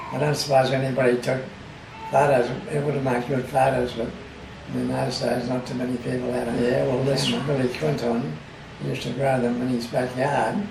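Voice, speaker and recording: A man with an Australian accent, audible room echo and noticeable background noise. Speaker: oral history interviewee. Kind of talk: oral history interview.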